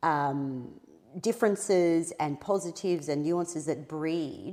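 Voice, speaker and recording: The speaker is a woman with an Australian accent. Her pitch varies in an ordinary way. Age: 40s. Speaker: impostor syndrome coach. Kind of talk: podcast interview.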